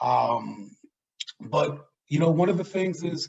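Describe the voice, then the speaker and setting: A man with an American accent speaks at a fairly slow pace. His voice is somewhat breathy. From US Northeast, New York City (South Bronx). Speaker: diversity and inclusion director. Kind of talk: talk on microaggressions. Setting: virtual event. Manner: animated.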